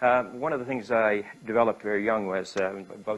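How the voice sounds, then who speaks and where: A man with a Canadian accent talks at a fairly quick pace in a plain, everyday voice with ordinary pitch variation. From Canada, Winnipeg. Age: 60s. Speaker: business speaker. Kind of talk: talk to an audience. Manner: conversational, with filler words.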